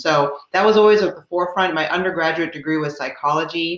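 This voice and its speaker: A woman with an ordinary speaking voice speaks in an American accent at a moderate pace, her pitch fairly low. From US Midwest. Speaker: talent acquisition executive. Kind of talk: panel talk. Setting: video call.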